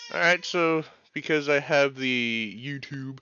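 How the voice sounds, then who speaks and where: Music in the background behind a man with an American accent, medium pitch and ordinary pitch variation. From California. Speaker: video game streamer. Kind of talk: casual live-stream chat.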